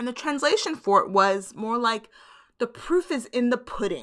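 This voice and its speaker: On a very clean recording with a silent background, a woman with an American accent speaks in a bright, sharp, animated tone with lively intonation and vocal fry. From US Midwest, Chicago. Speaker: podcast host. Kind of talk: solo monologue.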